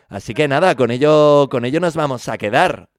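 A man at a moderate pace with ordinary pitch variation, in a dry, close sound with no echo. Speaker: radio music show host. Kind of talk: radio DJ presentation. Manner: animated.

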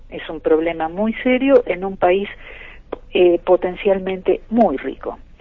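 A woman talks at a very slow pace. Her pitch shows ordinary variation. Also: medium pitch for a woman, big swings in loudness. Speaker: filmmaker and biochemist. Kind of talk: radio interview.

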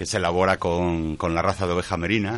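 A man's voice comes through very deep and low. He speaks at a very fast pace with fairly even intonation. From Santander, Cantabria, Spain. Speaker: cheesemaker. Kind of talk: casual chat.

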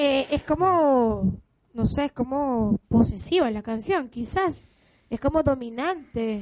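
A high-pitched woman with lively intonation at a very slow pace. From Venezuela. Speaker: radio host. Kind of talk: live radio interview. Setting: radio studio.

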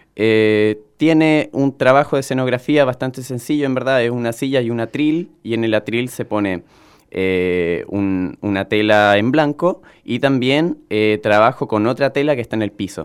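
The recording is very clean with a silent background. A man at medium pitch talks fairly slowly with ordinary pitch variation. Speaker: juggler and circus-theatre performer. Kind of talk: interview. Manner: hesitant with frequent fillers.

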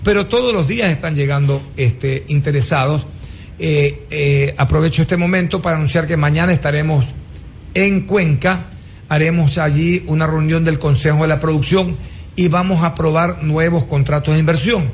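Here is a man with an ordinary speaking voice, fairly high in pitch, with ordinary pitch variation. He keeps a moderate pace and very even loudness. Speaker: government minister. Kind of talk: radio interview.

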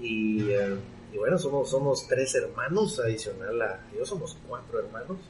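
A man speaks at a fairly slow pace. There is noticeable background noise and audible room echo. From Guatemala. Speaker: entrepreneurship expert and author. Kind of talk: interview.

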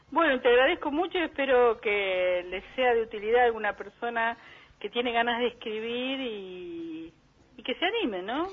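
A woman's fairly high pitch and lively intonation at a moderate pace, in a plain, everyday voice. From Buenos Aires suburbs (conurbano), Argentina. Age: 60s. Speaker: psychologist and poet. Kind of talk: interview. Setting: phone call.

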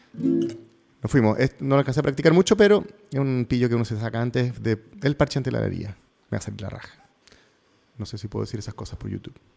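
Talking very fast, a man with a medium pitch uses ordinary pitch variation. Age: 40s. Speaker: radio host. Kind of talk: casual radio talk. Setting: radio studio.

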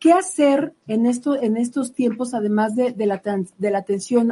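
At a moderate pace, a woman's fairly high-pitched voice comes across as somewhat breathy. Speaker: radio health show co-host. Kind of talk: interview.

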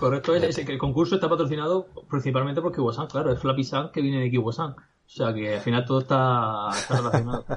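A man's medium-pitched, somewhat breathy voice at a very fast pace, very even in loudness, with ordinary pitch variation. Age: 20s. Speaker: digital entrepreneur. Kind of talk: casual interview. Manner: halting.

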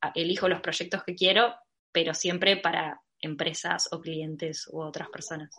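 A woman with a Rioplatense accent talks at a fairly slow pace, her fairly low pitch held in fairly even intonation. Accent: Argentine Rioplatense Spanish. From Argentina, Mar del Plata. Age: 20s. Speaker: illustrator and designer. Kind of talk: interview.

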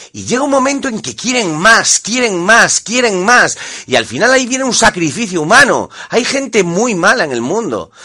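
A man's raised, projected voice, high-pitched with lively intonation at a moderate pace, over noticeable background noise. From Spain. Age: 40s. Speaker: guest commentator. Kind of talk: interview. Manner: animated.

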